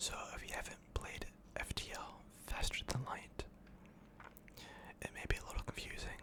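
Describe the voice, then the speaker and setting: Someone whispers in a calm tone at a moderate pace with long, frequent pauses over noticeable background noise. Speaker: gaming ASMR creator. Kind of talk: ASMR gameplay commentary. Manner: whispered, calm.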